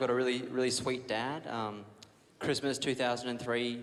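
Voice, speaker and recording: With an Australian accent, a man talks at a moderate pace and medium pitch amid noticeable background noise and audible room echo. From Australia, Brisbane, Queensland. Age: 20s. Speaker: comedian. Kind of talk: stand-up. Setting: stage with audience.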